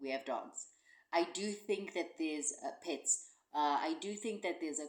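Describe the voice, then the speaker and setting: Speaking at a fairly slow pace, a woman with a South African accent has a very deep, low pitch. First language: Xhosa. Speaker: podcast co-host, cricket commentator. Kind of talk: casual chat. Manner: halting.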